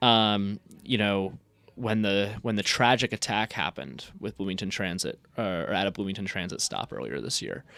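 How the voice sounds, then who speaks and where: In a very clean recording with a silent background, a man talks at a moderate pace with vocal fry. His pitch is fairly low and varies in an ordinary way. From Indiana. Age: 20s. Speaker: student city council candidate. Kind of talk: radio interview. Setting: radio studio.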